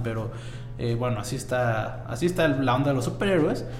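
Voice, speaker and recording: A man talks at a fairly quick pace with a Mexican accent. There is audible room echo, noticeable background noise and ordinary pitch variation. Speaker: podcast host. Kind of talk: casual chat.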